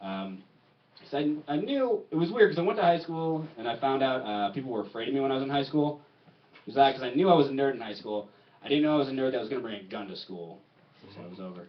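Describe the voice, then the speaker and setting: Talking at a very fast pace, a man at medium pitch makes very wide pitch swings and big swings in loudness. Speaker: stand-up comedian. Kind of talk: stand-up. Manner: stuttering today.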